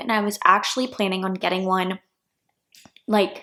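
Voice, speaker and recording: The speaker is a woman with a medium pitch. She talks at a fairly quick pace with fairly even intonation. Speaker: law student vlogger. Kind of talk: casual vlog chat. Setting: at home in apartment. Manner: soft-spoken.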